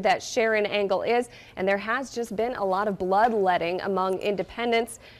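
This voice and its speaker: A woman with a normal speaking voice talks at a fairly high pitch with ordinary pitch variation. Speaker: television news anchor and reporter. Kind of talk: broadcast news anchoring and live reporting.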